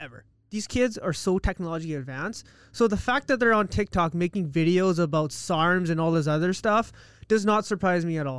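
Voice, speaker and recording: On a very clean recording with a silent background, a man with a Canadian accent speaks at a fairly quick pace in a high voice with ordinary pitch variation. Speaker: accountant. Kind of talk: casual chat interview. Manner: fast talker, excitable.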